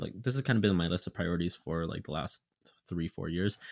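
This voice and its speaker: This very clean recording has a silent background. On it, a man talks. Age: 20s. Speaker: podcast co-host. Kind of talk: casual chat.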